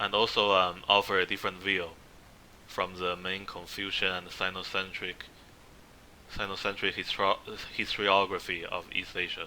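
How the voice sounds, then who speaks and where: His pitch very deep and low, a man with a non-native accent speaks in a monotone, flat intonation at a moderate pace, with long, frequent pauses. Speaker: history presenter. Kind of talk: slide presentation lecture. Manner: halting, many fillers.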